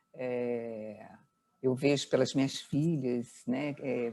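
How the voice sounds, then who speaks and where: A woman speaks with a very deep, low pitch and a dark, mellow tone. Her pitch varies in an ordinary way. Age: 60s. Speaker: entrepreneur, business founder. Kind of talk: interview conversation. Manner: hesitant, many fillers and repetitions.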